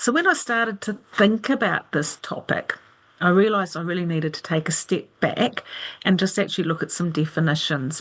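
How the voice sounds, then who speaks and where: With a New Zealand accent, a woman talks at a fairly quick pace in a medium pitch with ordinary pitch variation. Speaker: aromatherapist, nurse and academic presenter. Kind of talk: webinar lecture. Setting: video call webinar with screen share.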